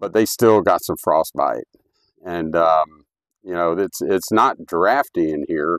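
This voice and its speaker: Everything is said very slowly. No echo colors the dry, close sound. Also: man. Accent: Midwestern American. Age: 60s. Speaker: homesteader. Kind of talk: tutorial. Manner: casual, halting with fillers.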